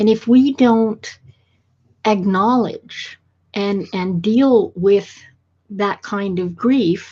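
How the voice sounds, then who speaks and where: A woman speaks at a very slow pace with long, frequent pauses, her fairly high voice somewhat breathy. Her tone is dark and mellow, and the background is quiet. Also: ordinary pitch variation. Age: 60s. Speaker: podcast host. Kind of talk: podcast interview.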